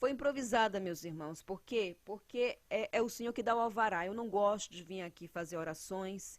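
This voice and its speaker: Speech unfolds with ordinary pitch variation and a moderate pace. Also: woman. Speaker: evangelical preacher. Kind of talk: sermon. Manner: loud.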